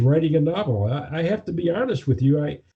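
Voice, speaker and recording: Somewhat breathy, a man's voice comes through with an American accent. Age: 70s. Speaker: attorney and author. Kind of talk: interview.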